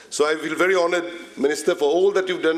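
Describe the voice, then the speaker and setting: Over noticeable background noise, a man speaks in a high voice with lively intonation. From Mauritius. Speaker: politician. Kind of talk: formal speech.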